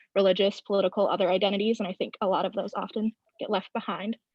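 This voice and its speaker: A woman talks at a very fast pace with an American accent. Her pitch sits in the medium range. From Wisconsin (Wausau). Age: young. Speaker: college student panelist. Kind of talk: panel discussion. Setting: video call.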